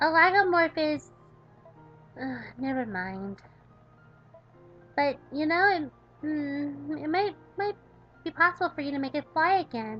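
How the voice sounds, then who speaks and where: In a put-on character voice, the speaker goes at a fairly slow pace with long, frequent pauses over faint background music. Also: woman, high pitch for a woman. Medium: solo performance. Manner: formal, articulate, precise.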